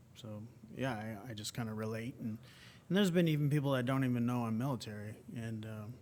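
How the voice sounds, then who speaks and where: There is audible room echo as a man with a medium pitch speaks at a very fast pace with ordinary pitch variation. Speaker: wounded combat veteran. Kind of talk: interview conversation. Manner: halting.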